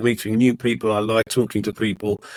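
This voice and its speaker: A medium-pitched man in a southern English accent, with a dry, close sound and no echo. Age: 60s. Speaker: podcast co-host, retired stockbroker. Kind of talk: casual chat.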